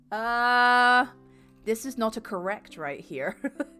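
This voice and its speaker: A woman talks at a fairly high pitch. Music can be heard behind her. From England. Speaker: video game streamer. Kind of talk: live gameplay commentary, reading game text aloud. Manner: animated.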